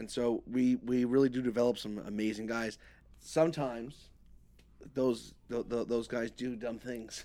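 A man with a New York accent, a dark, mellow tone and medium pitch, in a monotone, flat delivery at a moderate pace. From New York, Queens. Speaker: moving company owner. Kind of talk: casual chat.

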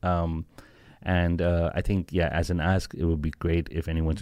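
A man's very deep, low voice in monotone, flat intonation, on a very clean recording with a silent background. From Pakistan. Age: 30s. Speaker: music startup founder. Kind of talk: interview. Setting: studio. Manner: hesitant, many fillers.

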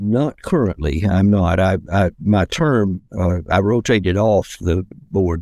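With an American accent, a man speaks at a very deep, low pitch with ordinary variation, on a very clean recording with a silent background. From US South, Decatur near Atlanta, Georgia. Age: 80s+. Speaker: retired professor. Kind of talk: interview conversation. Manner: measured, with many hesitations.

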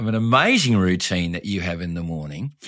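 A man with an Australian accent speaks in an enthusiastic tone on a very clean recording with a silent background. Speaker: podcast host and leadership coach. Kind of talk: interview. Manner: laughs often.

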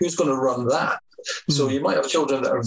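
The speaker has a Scottish accent. Noticeable background noise runs underneath. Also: man. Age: 50s. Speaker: hairdresser and salon owner. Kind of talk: interview. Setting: video call.

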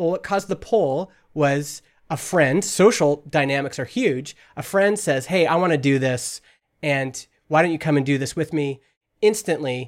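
With a Western Canadian accent, a man speaks at a fairly high pitch and a moderate pace with ordinary pitch variation, on a very clean recording with a silent background. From Canada (Alberta). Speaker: entrepreneur. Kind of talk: casual chat.

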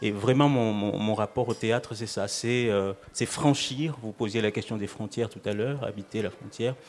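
This man has an ordinary speaking voice at a medium pitch. He keeps a moderate pace and fairly even intonation. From Mayotte. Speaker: writer and playwright. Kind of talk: live radio panel discussion. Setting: live public broadcast at tables.

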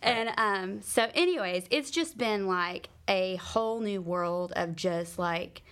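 Recorded very cleanly against a silent background, a normal speaking voice with an American accent moves at a fairly slow pace. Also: woman. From US South. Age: 40s. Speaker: pastor. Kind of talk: casual chat.

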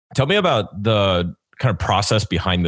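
A man speaks with vocal fry and ordinary pitch variation. The sound is dry and close, with no echo. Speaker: podcast host and career coach. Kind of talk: interview.

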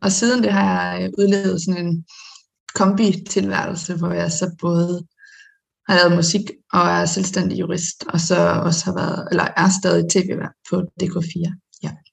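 Fairly slow speech from a woman, full of long, frequent pauses. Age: 20s. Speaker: singer-songwriter and lawyer. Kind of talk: casual interview. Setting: video call.

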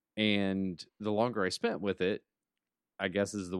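The speech moves at a fairly slow pace. The recording is very clean with a silent background, and the sound is dry and close with no echo. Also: man. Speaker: podcast co-host. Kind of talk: casual chat.

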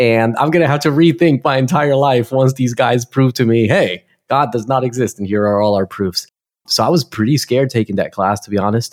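With a New Jersey accent, a man with a medium-pitched voice speaks at a fairly quick pace with ordinary pitch variation, the sound dry and close with no echo. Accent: New Jersey American. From US Northeast, Newark, New Jersey. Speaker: pastor. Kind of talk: interview.

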